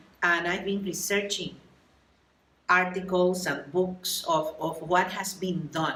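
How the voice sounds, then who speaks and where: A woman speaks very slowly with a Puerto Rican accent in a flat, monotone delivery, with audible room echo and noticeable background noise. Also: medium pitch for a woman. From Puerto Rico. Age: 70s. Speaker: workshop attendee and doctoral student. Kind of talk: interview.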